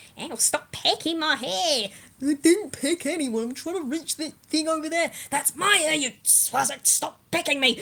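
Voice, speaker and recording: A put-on, high-pitched character voice moves at a moderate pace with hardly any pauses. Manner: indignant, bickering.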